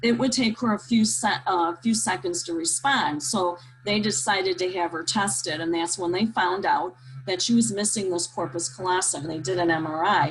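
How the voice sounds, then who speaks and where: Her fairly low voice carries lively intonation at a moderate pace as noticeable background noise runs beneath this woman. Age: 60s. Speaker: nurse and training specialist presenter. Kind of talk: webinar presentation with Q&A. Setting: video call webinar. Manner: hesitant, many fillers.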